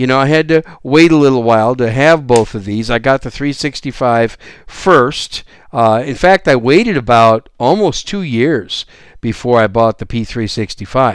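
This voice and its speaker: On a very clean recording with a silent background, a man with an American accent uses a normal speaking voice at a medium pitch, with ordinary pitch variation and a moderate pace. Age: 60s. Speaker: gun podcast host. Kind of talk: solo podcast monologue.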